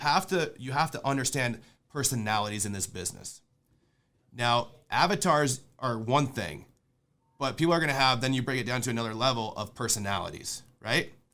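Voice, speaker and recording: An animated voice with a bright, sharp tone moves at a fairly quick pace with ordinary pitch variation on a very clean recording with a silent background. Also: man, medium pitch for a man. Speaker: real estate investor and podcast host. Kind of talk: sales training lecture. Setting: conference call. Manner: fast.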